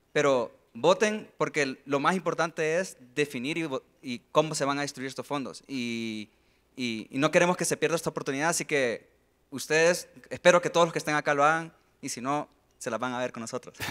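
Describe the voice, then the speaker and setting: A man speaks fairly quickly in a fairly high voice. Ordinary pitch variation marks his speech, and the background stays quiet. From Honduras. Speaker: smart contract developer, community founder; panelist. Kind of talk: panel discussion. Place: stage. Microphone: handheld.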